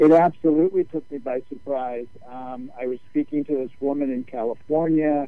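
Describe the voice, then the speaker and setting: This man has a plain, everyday voice at a fairly high pitch. He keeps a moderate pace with fairly even intonation. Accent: American. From New York. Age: 60s. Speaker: former management consultant and author. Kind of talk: radio interview.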